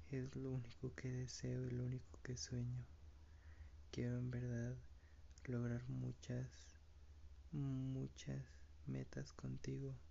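The delivery is very slow. Long pauses occur frequently. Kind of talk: whispered romantic monologue. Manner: tender, intimate, slow and heartfelt; affectionate, repeating pet names, occasionally laughing.

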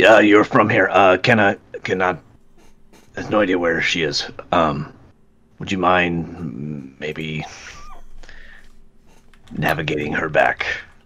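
Putting on a raspy character voice, a man speaks at a very deep, low pitch and fairly slow pace, with ordinary pitch variation and long, frequent pauses. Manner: put-on character voice.

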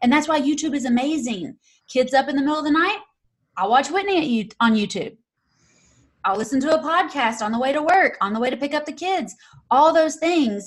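With a Southern US accent, a woman speaks in a high voice at a fairly quick pace. Her intonation is lively, broken by long, frequent pauses. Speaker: real estate investor and YouTube creator. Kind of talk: interview.

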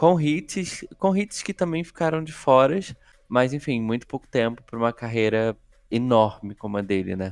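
This man's pitch swings very widely while his tempo stays moderate. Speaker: podcast host. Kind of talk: casual chat.

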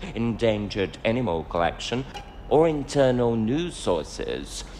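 The speaker is a man. He talks fairly slowly against noticeable background noise. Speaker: fictional character actor. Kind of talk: dramatic character monologue, theatrical. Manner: arch, gossipy, camp; animated, sassy, playful.

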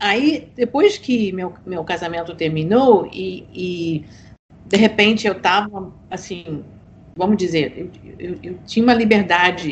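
A woman speaks in a fairly low pitch at a fairly slow pace. Her voice is somewhat breathy. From United States. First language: English (speaking Portuguese). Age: old. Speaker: author. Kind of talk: podcast interview.

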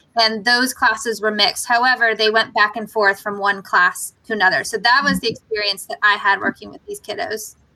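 A woman's fairly high, bright and sharp voice at a fairly quick pace with hardly any pauses, ordinary pitch variation and big swings in loudness. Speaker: podcast host, former school librarian. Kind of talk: casual chat.

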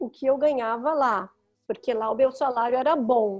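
Ordinary pitch variation in a woman's high voice. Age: 50s. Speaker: photographer. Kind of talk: interview.

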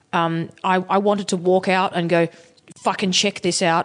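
A woman with an Australian accent speaks at a moderate pace and medium pitch, her intonation monotone and flat. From Sydney, Australia. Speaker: musician. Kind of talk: casual interview chat. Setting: hotel band room.

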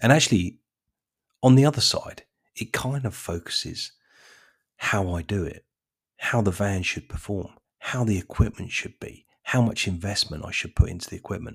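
A man's fairly low, somewhat breathy voice at a moderate pace, with ordinary pitch variation, big swings in loudness and long, frequent pauses, on a very clean recording with a silent background. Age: 50s. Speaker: lawn care business owner. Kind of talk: casual monologue.

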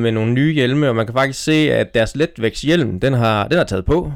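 An unremarkable speaking voice from a man at medium pitch, moderate in pace with ordinary pitch variation, very even loudness and hardly any pauses. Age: 30s. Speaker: cycling magazine editor. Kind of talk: casual chat. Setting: outdoors.

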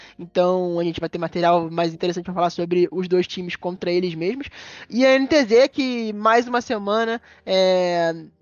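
A man speaks with a high pitch at a moderate pace. His pitch variation is ordinary. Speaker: esports podcast host. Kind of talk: casual chat. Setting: live stream.

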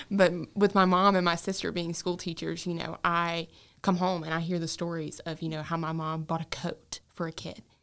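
A woman with a Southern US accent talks in a fairly low, monotone, flat voice with big swings in loudness. The recording is very clean, with a silent background. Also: moderate pace. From North Carolina, Gaston County. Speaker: nursing student. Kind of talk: casual interview.

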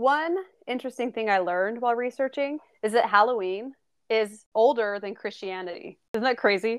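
Against a quiet background, a woman in an ordinary speaking voice talks at fairly high pitch and a moderate pace with ordinary pitch variation. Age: 20s. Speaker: podcast host. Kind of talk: casual chat.

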